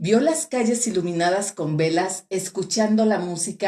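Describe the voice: This is plain reading aloud, with pitch that varies in an ordinary way.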